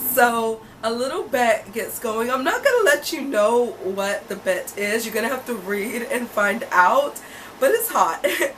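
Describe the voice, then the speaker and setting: Animated in tone, a woman speaks at a high pitch and fairly slow pace. Her intonation is lively, with noticeable background noise. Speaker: book reviewer. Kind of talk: casual vlog book review.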